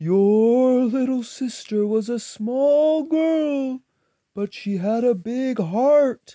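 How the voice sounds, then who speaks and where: A soft-spoken, put-on character voice at a fairly high pitch and a very slow pace. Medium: read story. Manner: calm, gentle.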